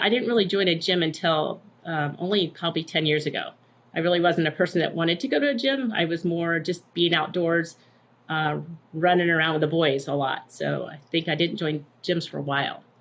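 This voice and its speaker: A woman with a fairly low pitch speaks at a fairly quick pace with ordinary pitch variation in an unremarkable speaking voice. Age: 60s. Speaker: gym member, retired teacher. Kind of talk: interview answer.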